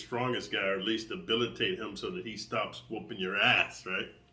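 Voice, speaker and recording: This man uses an ordinary speaking voice, medium in pitch, moving at a moderate pace. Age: 60s. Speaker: martial arts coach and online creator. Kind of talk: casual monologue to subscribers. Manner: casual, with fillers and repetitions.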